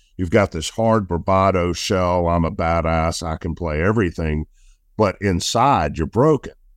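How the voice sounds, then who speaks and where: With a Southern US accent, a man speaks at a moderate pace and a very deep, low pitch with ordinary pitch variation, in a very clean recording with a silent background. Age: 50s. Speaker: football coach and business owner. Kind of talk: casual interview.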